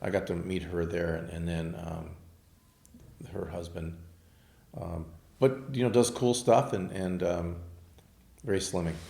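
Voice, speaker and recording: An American-accented man at a fairly slow pace with long, frequent pauses, a dark, mellow tone, ordinary pitch variation and audible room echo. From Southern California (Manhattan Beach). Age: 60s. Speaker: architect and car collector. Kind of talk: casual interview chat. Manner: hesitant, many fillers.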